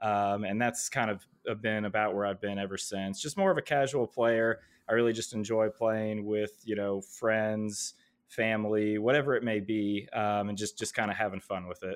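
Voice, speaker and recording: Against a quiet background, a man with a plain, everyday voice speaks at a moderate pace in a fairly low pitch with fairly even intonation. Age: 30s. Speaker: gaming league co-founder. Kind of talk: casual chat.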